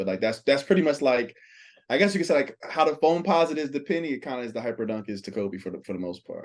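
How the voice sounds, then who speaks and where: Over a quiet background, a man with an American accent talks at a very fast pace, his medium-pitched voice full of lively intonation. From South Jersey, US (Pleasantville, near Atlantic City). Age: 30s. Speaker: sneaker collector. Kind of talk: casual chat.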